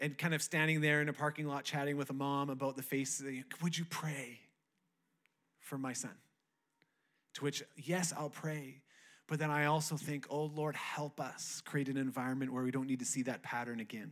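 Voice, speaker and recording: A man's fairly high-pitched voice in a monotone, flat intonation at a moderate pace, on a very clean recording with a silent background. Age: 30s. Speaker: pastor. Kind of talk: Pentecost Sunday church sermon, building to a rousing revival appeal. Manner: conversational, with frequent restarts and filler words; rising, rhetorical cadence with repeated 'who gets to stand up' lines.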